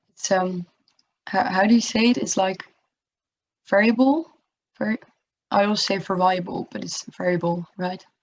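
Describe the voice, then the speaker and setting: Medium-pitched, somewhat breathy speech from a woman at a moderate pace, with ordinary pitch variation and long, frequent pauses. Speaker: tutor. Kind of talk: lecture. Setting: video call. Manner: halting. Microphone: laptop or built-in mic, no headset.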